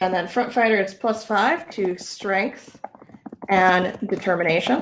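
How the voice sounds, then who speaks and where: Delivered at a fairly slow pace with very even loudness and ordinary pitch variation, the speech sits over noticeable background noise. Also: woman, medium pitch for a woman. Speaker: UX researcher leading a workshop. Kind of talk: interactive online workshop.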